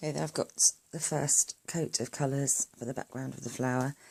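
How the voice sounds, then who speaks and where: A woman speaks with a very deep, low pitch. Her intonation stays flat and monotone. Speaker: craft video maker. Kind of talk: tutorial. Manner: hesitant.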